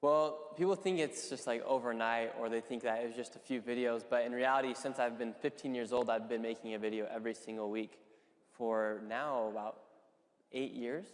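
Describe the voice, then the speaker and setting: Speaking fairly quickly, a man uses a plain, everyday voice at medium pitch with ordinary pitch variation. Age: 20s. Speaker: independent journalist. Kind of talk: panel discussion. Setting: stage with audience.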